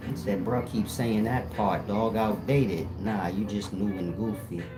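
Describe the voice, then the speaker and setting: The voice moves at a fairly slow pace with audible room echo. Music plays in the background. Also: man, fairly low pitch for a man. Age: 40s. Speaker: livestream commentator. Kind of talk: live stream chat. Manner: animated.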